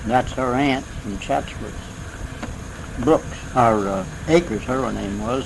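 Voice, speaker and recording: The man's medium-pitched voice moves at a very slow pace with ordinary pitch variation, and noticeable background noise can be heard. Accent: American. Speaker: local resident interviewed for oral history. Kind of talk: oral history interview answer, reminiscing. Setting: 1970s interview tape recording.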